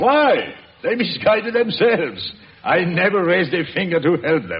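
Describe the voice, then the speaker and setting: A gruff, high-pitched put-on character voice from a man, with lively intonation at a moderate pace. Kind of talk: 1940s radio acting. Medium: old radio play. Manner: gruff, blustering.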